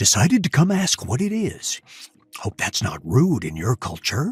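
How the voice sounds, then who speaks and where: A man puts on a character voice at a fairly high pitch, talking at a moderate pace. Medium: read story. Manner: direct, casual.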